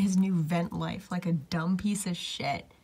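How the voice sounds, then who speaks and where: The woman's delivery is fairly slow. There is a somewhat breathy quality to her voice. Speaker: vlogger. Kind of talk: casual vlog. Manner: casual, chatty.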